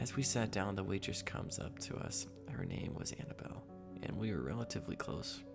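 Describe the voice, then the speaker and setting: Someone is whispering. Music plays in the background. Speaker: voice-over narrator. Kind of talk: horror story narration.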